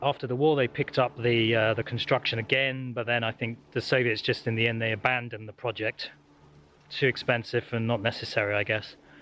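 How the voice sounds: A man talks at a fairly quick pace in a medium-pitched voice with a fairly bright tone. There is little pitch movement.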